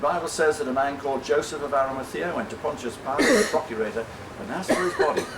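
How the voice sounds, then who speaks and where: A man with an English accent at a very fast pace and fairly high pitch, amid noticeable background noise and audible room echo. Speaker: volunteer tour guide. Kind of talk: guided tour talk. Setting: outdoors.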